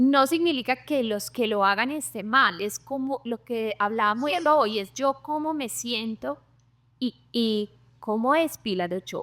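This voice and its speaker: Lively intonation comes through at a fairly slow pace, in a dry, close sound with no echo. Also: woman, fairly high pitch for a woman. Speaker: dermatologist. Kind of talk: interview.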